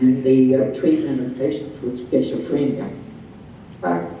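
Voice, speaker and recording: Noticeable background noise sits behind a man speaking at a very slow pace. His pitch variation is ordinary. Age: 80s+. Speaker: psychologist. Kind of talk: interview answer. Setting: video call.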